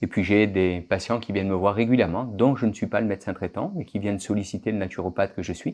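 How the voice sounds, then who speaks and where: A man's fairly low voice at a fairly quick pace. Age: 60s. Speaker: naturopathic doctor. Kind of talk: interview. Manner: halting, with fillers and repetitions.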